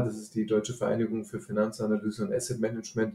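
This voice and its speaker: The man's tone is dark and mellow. His pitch sits in the medium range. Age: 50s. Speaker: financial analyst. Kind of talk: casual interview.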